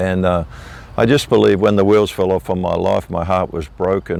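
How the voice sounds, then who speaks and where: Here a man speaks with an Australian accent. His pitch is very deep and low. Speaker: minister, revival evangelist. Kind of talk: interview answer.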